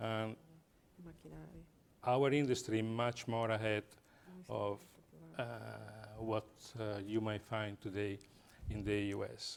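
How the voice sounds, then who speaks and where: A man speaks at a fairly slow pace with an Italian accent and a fairly low pitch. His intonation is monotone and flat, broken by long, frequent pauses. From Italy. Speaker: business executive. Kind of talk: panel discussion. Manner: halting.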